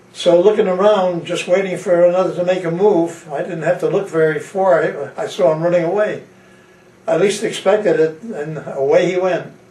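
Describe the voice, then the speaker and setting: Amid audible room echo and noticeable background noise, a man with an American accent speaks at a high pitch and a moderate pace with fairly even intonation. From Connecticut, US. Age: 80s+. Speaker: war veteran. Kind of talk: testimony. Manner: halting.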